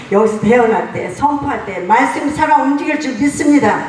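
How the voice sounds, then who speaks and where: A woman talks with audible room echo in the space and noticeable background noise behind her. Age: 70s. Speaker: pastor. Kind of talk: congratulatory speech at church founding ceremony.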